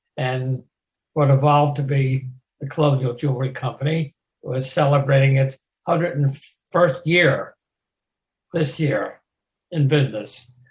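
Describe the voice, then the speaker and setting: This man has a fairly high pitch and a somewhat breathy voice. He talks at a fairly slow pace with fairly even intonation and long, frequent pauses. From US, Maryland (Westminster, Carroll County). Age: 90s. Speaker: war veteran. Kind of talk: oral history interview.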